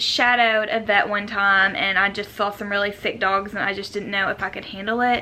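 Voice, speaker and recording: Speaking with a Southern US accent, a woman's voice sits fairly high in pitch. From US South, Jonesboro, Arkansas. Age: 20s. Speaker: lifestyle vlogger. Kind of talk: casual chat.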